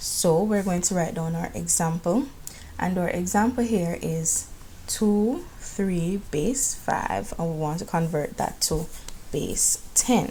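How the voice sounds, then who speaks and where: A woman with a Jamaican accent speaks at a very slow pace. Her pitch is fairly low. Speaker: math teacher. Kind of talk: classroom math lesson.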